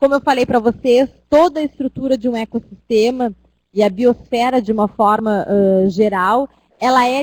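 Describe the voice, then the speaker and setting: Recorded dry and close with no echo, a woman speaks at a moderate pace with fairly even intonation. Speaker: university lecturer. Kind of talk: online lecture. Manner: hesitant.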